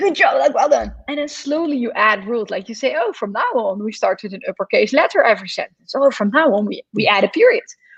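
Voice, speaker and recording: Speech rushes along at a very fast pace with hardly any pauses. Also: woman. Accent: Dutch. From Netherlands. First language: Dutch. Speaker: computer science educator. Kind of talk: interview Q&A.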